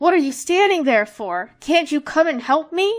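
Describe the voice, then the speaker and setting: Shouting in a put-on character voice, a woman pitches high and keeps a moderate pace. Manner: screaming, furious.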